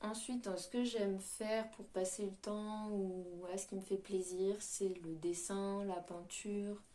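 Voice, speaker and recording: Very slowly, a woman speaks at medium pitch in a dark, mellow tone. Her intonation stays monotone and flat. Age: 20s. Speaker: YouTuber. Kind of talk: casual chat. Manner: hesitant, many fillers.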